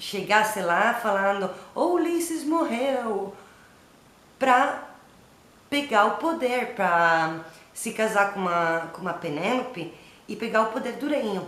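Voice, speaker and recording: A woman speaks in an Italian accent at a very slow pace, with long, frequent pauses, very wide pitch swings and big swings in loudness. Audible room echo and noticeable background noise are present. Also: fairly high pitch for a woman. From Italy. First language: Italian (speaking Portuguese). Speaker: literature workshop teacher. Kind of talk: lecture. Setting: at home. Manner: halting.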